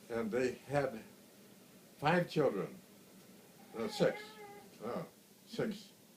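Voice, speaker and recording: A man with an American accent speaks very slowly at a fairly high pitch, with very wide pitch swings and long, frequent pauses. Noticeable background noise runs underneath. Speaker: grandfather. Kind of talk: family storytelling, casual recollection. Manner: hesitant, many fillers.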